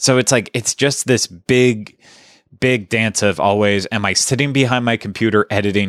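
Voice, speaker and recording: A man speaks in a dry, close sound with no echo. The recording is very clean, with a silent background. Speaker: podcast host. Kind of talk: casual chat. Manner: flat, unemotive delivery.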